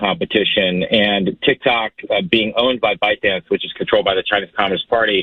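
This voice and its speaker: With an American accent, a man uses a normal speaking voice at a fairly low pitch and a fairly quick pace. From Wisconsin, United States. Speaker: U.S. congressman and former Marine. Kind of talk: radio interview answer.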